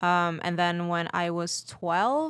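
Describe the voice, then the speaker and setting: A woman's fairly low voice with a Portuguese accent, on a very clean recording with a silent background. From Brazil. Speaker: podcast guest. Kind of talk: casual chat.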